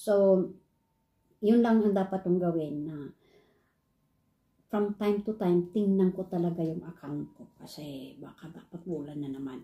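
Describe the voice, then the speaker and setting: A woman speaks fairly slowly at a fairly low pitch, somewhat breathy and dark, mellow in tone. Her loudness swings widely, her pitch varies in an ordinary way, and she pauses long and often. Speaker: online English teacher and vlogger. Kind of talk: casual vlog.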